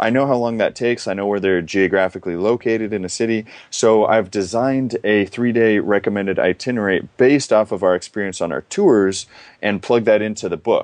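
A man with a normal speaking voice talks at a fairly quick pace and a fairly low pitch with ordinary variation, the sound dry and close with no echo over a quiet background. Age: 20s. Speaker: travel company founder and author. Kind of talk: interview.

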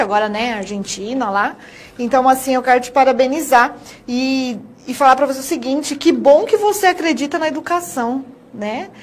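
Amid noticeable background noise, a high-pitched woman talks at a moderate pace with lively intonation. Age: 30s. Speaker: TV presenter. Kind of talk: TV interview.

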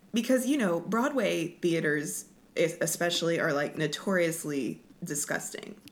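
Speaking with an American accent, a woman has an unremarkable speaking voice. She talks at a fairly slow pace with lively intonation. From Oklahoma, Lawton. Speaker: Broadway performer. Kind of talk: casual interview.

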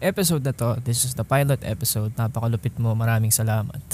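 At a very fast pace, a man talks in a dark, mellow tone that is somewhat breathy. His intonation is fairly even. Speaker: podcast host. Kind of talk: casual monologue. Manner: halting.

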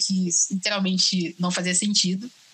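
Noticeable background noise sits behind a woman's voice. She speaks at a medium pitch with fairly even intonation. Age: 20s. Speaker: biomedicine student. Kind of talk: casual chat. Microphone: audio problems.

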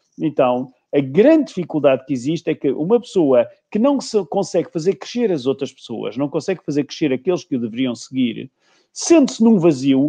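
A man with a dark, mellow tone speaks at a moderate pace, his pitch swinging very widely over a quiet background. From Portugal. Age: 60s. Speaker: leadership coach and trainer. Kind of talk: interview.

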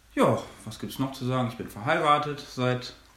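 Audible room echo around a man's medium-pitched voice. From Germany, Minden-Lübbecke district (East Westphalia). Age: 20s. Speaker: theology student. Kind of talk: podcast interview.

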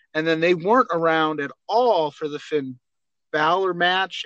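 A bright, sharp tone at a moderate pace, dry and close with no echo. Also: man. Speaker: wrestling podcast co-host. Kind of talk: casual chat.

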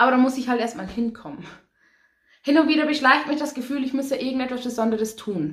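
The pace is very fast. Pitch variation is ordinary. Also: woman, high pitch for a woman. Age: 20s. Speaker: poetry slammer and cabaret artist. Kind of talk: poetry slam performance.

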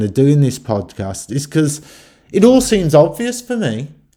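This man's voice has a fairly high pitch and a dark, mellow tone. He moves at a fairly slow pace with very wide pitch swings. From West Midlands, Stourbridge. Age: 50s. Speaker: podcaster. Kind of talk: solo monologue. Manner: halting, with false starts.

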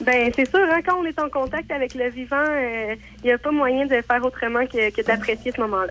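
Over noticeable background noise, a woman talks at a high pitch and a moderate pace, with ordinary pitch variation. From Quebec. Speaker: farm camp organizer. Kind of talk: radio interview.

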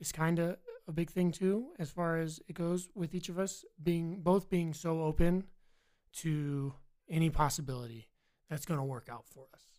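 A man speaks at a moderate pace with an American accent, his pitch fairly high and its variation ordinary. It is a normal speaking voice. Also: very clean recording, silent background. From Virginia. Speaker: college student, military veteran. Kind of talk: casual interview chat.

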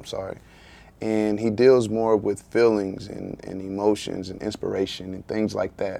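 A man's dark, mellow tone in an Eastern North Carolina accent, fairly low in pitch, with fairly even intonation and a fairly slow pace. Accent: Eastern North Carolina Southern US. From Eastern North Carolina, US South. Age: 30s. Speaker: author and entrepreneur, former college football player. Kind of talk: casual podcast interview.

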